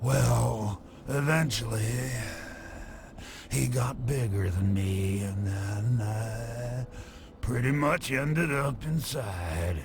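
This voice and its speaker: A man uses a put-on character voice, fairly low in pitch, at a very slow pace with long, frequent pauses. Clear background noise is present. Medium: video game. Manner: rambling, chuckling, wistful.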